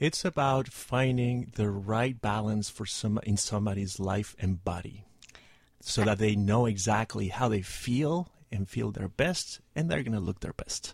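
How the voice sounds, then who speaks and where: A somewhat breathy man at fairly low pitch, with ordinary pitch variation and a fairly slow pace. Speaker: fitness business founder. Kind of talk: radio interview.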